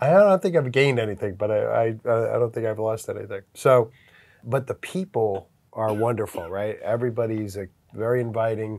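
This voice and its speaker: A man's ordinary speaking voice with an American accent, medium pitch, ordinary pitch variation and a moderate pace, on a very clean recording with a silent background. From US. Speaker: business consultant. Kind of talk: interview. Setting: on location in Vietnam.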